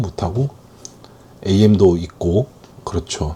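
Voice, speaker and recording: A man speaks at a fairly slow pace. Noticeable background noise runs beneath his voice. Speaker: game QA worker and middle manager, workplace vlogger. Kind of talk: casual monologue. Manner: hesitant with fillers.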